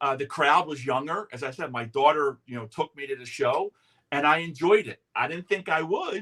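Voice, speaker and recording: With a plain, everyday voice, a man speaks at a moderate pace and fairly high pitch with ordinary pitch variation and big swings in loudness, the sound dry and close with no echo. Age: 60s. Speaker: talk show host. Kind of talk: casual chat. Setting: outdoors on a porch.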